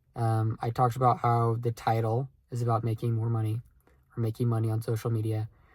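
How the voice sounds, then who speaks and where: This man's tone is dark and mellow, with a somewhat breathy quality. He talks at a medium pitch. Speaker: aspiring content creator vlogger. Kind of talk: casual vlog monologue. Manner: slow with pauses; hesitant, many fillers.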